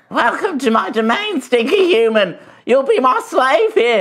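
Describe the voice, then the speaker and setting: In a put-on character voice that sounds female, the speaker talks at a moderate pace with a high pitch for a woman and very wide pitch swings. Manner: menacing, gloating.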